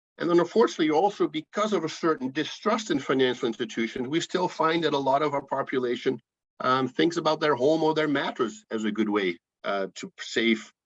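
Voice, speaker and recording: With a Dutch accent, a man with a fairly high pitch talks at a fairly quick pace using lively intonation. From Netherlands. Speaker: financial educator. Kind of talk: presentation. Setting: video call.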